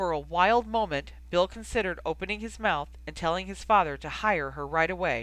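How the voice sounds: Here a natural reading voice is heard.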